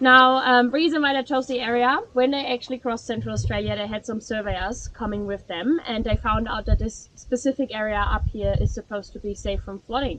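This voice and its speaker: A woman with a German accent talks at a fairly quick pace with hardly any pauses and ordinary pitch variation. Noticeable background noise sits behind her. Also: fairly high pitch for a woman. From Germany. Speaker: tour guide. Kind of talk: guided tour talk. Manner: fast.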